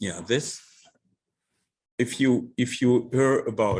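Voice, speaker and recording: A man speaks very slowly with a non-native accent. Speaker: architect. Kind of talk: lecture. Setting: lecture hall with audience. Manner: halting.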